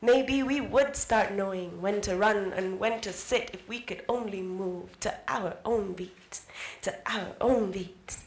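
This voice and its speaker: Audible room echo surrounds a woman speaking at a very slow pace with ordinary pitch variation. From Kenya. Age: young. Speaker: spoken word artist. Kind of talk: spoken word poetry performance. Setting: live event. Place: hall. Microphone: handheld.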